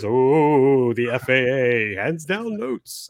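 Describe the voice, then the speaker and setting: Using a put-on character voice, a man speaks at medium pitch in a dramatic tone. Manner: spooky, dramatic storyteller.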